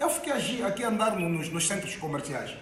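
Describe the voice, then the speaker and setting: Speaking in an Angolan accent, a man uses an animated tone and lively intonation. Noticeable background noise and audible room echo fill the recording. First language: an Angolan Bantu language (speaking Portuguese). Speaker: activist. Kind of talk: public talk.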